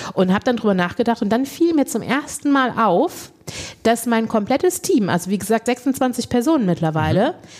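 A woman talks at a fairly quick clip with a fairly high pitch. Her pitch swings very widely over noticeable background noise. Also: very even loudness. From Lower Rhine, Germany. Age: 40s. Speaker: body positivity coach and beauty pageant organiser. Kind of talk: casual chat.

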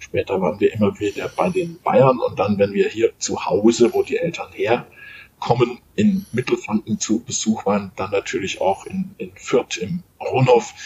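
A man talks fairly slowly with noticeable noise in the background. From Munich, Bavaria. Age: 50s. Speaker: sports journalist and author. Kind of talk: interview. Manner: halting, frequent repetitions.

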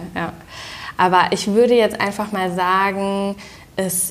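Delivered at a very slow pace, the speech has monotone, flat intonation and audible room echo. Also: woman. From Germany, Düsseldorf. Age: 30s. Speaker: interior design influencer. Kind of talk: casual interview. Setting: at her home.

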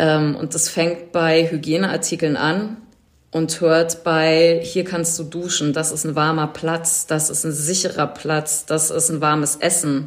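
Very slowly, a woman speaks with a very deep, low pitch in a monotone, flat intonation. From Berlin, Germany. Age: 40s. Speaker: event production manager and volunteer coordinator. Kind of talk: interview. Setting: video call.

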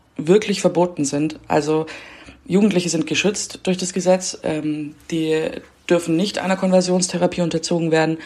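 This woman has an unremarkable speaking voice with a fairly low pitch. She talks at a moderate pace. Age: 20s. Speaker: reporter. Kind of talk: casual interview.

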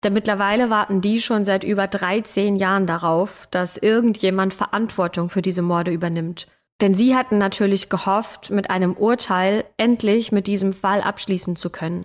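Using an ordinary speaking voice, a woman with a medium pitch talks at a moderate pace with hardly any pauses. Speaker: podcast host. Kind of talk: true-crime narration. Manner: serious, measured, storytelling.

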